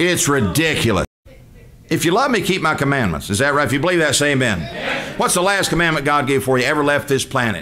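A fairly high-pitched man with a Southern US accent, very fast and animated, with lively intonation over light background noise. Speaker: preacher. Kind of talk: sermon. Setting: church. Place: church. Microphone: podium.

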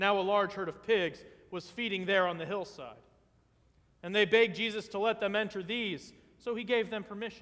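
A man speaks with a high voice. His intonation stays fairly even. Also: fairly quick pace, quiet background. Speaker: vicar preaching a sermon in a Lutheran church. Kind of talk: church sermon. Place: church. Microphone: podium.

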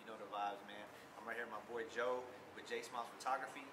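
Amid loud background noise, a man speaks at a very fast pace. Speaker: vlogger. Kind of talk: casual vlog chat. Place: street.

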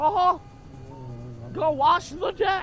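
A man's put-on character voice at an extremely high pitch, over clear background noise. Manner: put-on cartoon voice, bad imitation.

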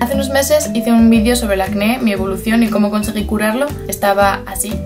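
Clear music plays in the background. A woman speaks at a very fast pace. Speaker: beauty vlogger. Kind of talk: casual talk to camera. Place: home room. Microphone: phone near.

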